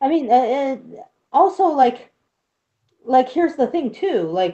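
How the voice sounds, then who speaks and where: This woman's high pitch carries a dark, mellow tone and very wide pitch swings. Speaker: streamer. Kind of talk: casual chat. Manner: stutters at times.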